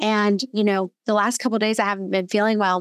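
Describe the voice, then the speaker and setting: A woman's unremarkable speaking voice, medium in pitch and fairly quick, with a dry, close sound and no echo. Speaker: podcast host. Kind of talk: casual interview chat.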